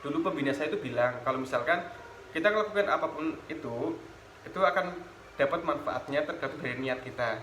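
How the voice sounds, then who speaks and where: There is noticeable background noise and audible room echo. A man talks at a fairly quick pace. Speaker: former student leader, teacher trainee. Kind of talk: interview. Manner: casual, with fillers and false starts.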